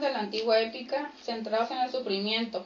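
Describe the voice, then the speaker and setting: Ordinary pitch variation at a moderate pace, with noticeable background noise behind it. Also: woman. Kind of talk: radio talk show.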